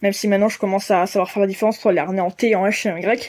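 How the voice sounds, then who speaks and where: A woman with a dark, mellow tone and a medium pitch talks at a very fast pace with fairly even intonation. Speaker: pet vlogger. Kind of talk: casual vlog talk to camera. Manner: hesitant, many fillers.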